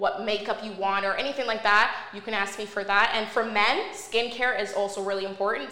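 A woman with a Canadian accent speaks at a medium pitch in a monotone, flat intonation. Noticeable background noise and audible room echo fill the recording. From Canada, Montreal. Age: 30s. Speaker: entrepreneur. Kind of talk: casual interview.

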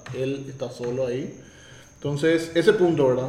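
A man is heard with audible room echo. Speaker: tech commentator. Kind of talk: opinion commentary.

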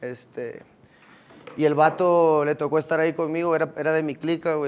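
A man's ordinary speaking voice, fairly high in pitch, at a fairly quick pace. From Mexico, Los Cabos. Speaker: rapper. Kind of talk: casual chat.

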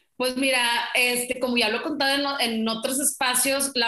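A woman speaks at a moderate pace in a high pitch. Her intonation stays fairly even. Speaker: travel agency owner. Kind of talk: casual interview.

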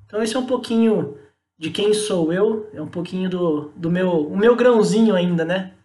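There is audible room echo as a man with a high pitch and a dark, mellow tone speaks at a moderate pace with ordinary pitch variation. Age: 30s. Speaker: marketing specialist. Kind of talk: casual interview.

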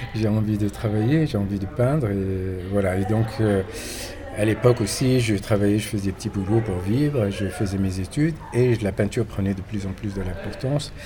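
Against noticeable background noise, a man with a fairly low pitch talks at a moderate pace with ordinary pitch variation. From Morocco. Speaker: painter. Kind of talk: interview. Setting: hotel. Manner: halting.

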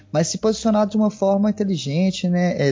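The man speaks with ordinary pitch variation. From Minas Gerais, Brazil (Belo Horizonte, Divinópolis). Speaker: history teacher and researcher. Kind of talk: casual chat. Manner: halting, many fillers.

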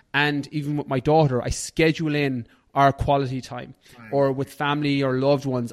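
Against a quiet background, a man with a fairly high pitch talks at a moderate pace in a monotone, flat intonation. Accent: Irish. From Ireland. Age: 30s. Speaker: fitness and nutrition coach. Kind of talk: casual interview chat.

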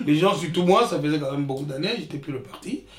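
Noticeable background noise behind a man's lively intonation. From Republic of the Congo (Brazzaville), village. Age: 60s. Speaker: retired IT worker, immigrant father. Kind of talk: life story interview. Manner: halting, repeats words.

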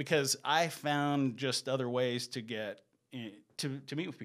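A man with an American accent uses a normal speaking voice, talking at a moderate pace with fairly even intonation. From US South. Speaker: real estate broker. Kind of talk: casual chat.

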